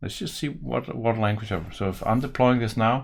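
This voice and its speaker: With a strong Danish accent, a man speaks in a fairly low voice over light background noise. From Denmark. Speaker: software developer and tutorial maker; tutorial maker. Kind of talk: coding tutorial. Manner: casual, thinking aloud with hesitations.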